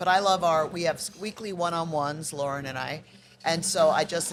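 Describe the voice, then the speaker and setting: Over noticeable background noise, a woman with a very deep, low pitch speaks at a moderate pace with fairly even intonation. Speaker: nonprofit business ambassador. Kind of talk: casual chat. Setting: outdoors in a dumpster at a recycling yard. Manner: loud.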